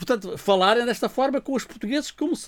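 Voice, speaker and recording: Over a very clean recording with a silent background, a man talks at a fairly quick pace with very wide swings in pitch. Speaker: radio show guest. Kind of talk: casual chat. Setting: radio studio.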